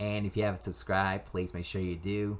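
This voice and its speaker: In a very clean recording with a silent background, a man talks at a very fast pace with a very deep, low pitch and ordinary pitch variation. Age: 20s. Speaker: YouTuber and amateur writer. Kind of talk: reading aloud own story. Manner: halting, repeats and restarts sentences.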